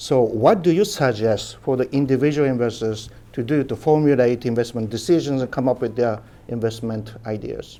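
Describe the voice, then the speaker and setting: In a Japanese accent, a man with a dark, mellow tone talks at a fairly quick pace with ordinary pitch variation. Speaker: interviewer. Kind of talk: interview.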